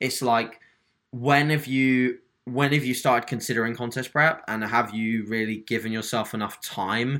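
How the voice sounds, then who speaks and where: A man speaks with a British accent at a moderate pace, his medium-pitched voice bright and sharp in tone. His intonation stays fairly even, and the recording is very clean with a silent background. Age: 20s. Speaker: online fitness coach. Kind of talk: podcast interview.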